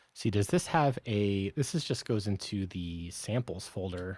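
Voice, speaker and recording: Over a silent background in a very clean recording, a soft-spoken man talks at a very slow pace, his fairly low pitch showing ordinary variation. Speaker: software developer streamer. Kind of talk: live-coding stream. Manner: quiet, soft-spoken; halting, thinking aloud.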